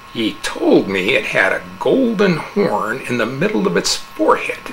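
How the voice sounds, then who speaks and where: A man puts on a character voice, pitched high for a man, speaking at a moderate pace over clear background noise. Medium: read story. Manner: cold, contemptuous.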